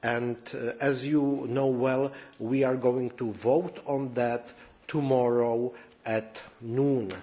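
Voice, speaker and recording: A man's very slow speech with a Czech accent. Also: medium pitch for a man. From Czech Republic. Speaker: politician. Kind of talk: press conference statement. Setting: press conference room. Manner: halting, many fillers.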